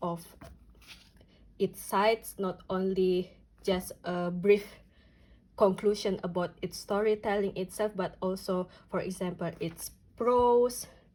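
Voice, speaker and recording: Speaking very slowly with an Indonesian accent, a woman uses a flat, monotone delivery at medium pitch, her tone dark and mellow. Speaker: notebook and reading vlogger. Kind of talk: casual flip-through vlog. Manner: halting, many fillers.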